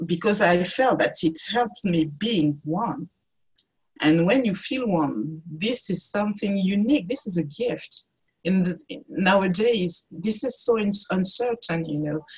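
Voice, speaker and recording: A woman talks at a fairly slow pace and a medium pitch. Her voice is somewhat breathy, with lively intonation. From France, Cameroonian parents. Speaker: artist. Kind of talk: interview. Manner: halting.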